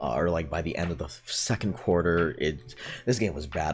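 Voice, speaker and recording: Vocal fry runs through a man's very deep, low voice. He speaks quietly and at a very fast pace. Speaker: sports YouTuber. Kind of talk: casual sports recap vlog. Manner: quiet, late at night; hesitant, many fillers.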